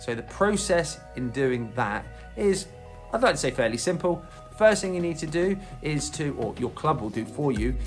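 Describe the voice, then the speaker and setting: Faint music sits in the background while a man speaks at a moderate pace. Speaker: boxing coach. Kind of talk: tutorial. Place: gym. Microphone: phone near.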